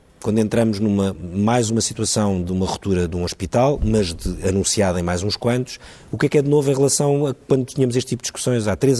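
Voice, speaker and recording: Fairly low-pitched male voice at a fairly quick pace, with noticeable background noise. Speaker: TV news debate host. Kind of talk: televised panel debate moderation.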